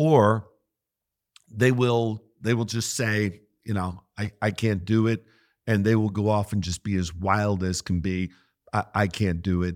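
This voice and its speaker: A man with an American accent has a plain, everyday voice at a fairly low pitch. He talks at a fairly slow pace with fairly even intonation, in a very clean recording with a silent background. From western Pennsylvania. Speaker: pastor. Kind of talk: interview conversation.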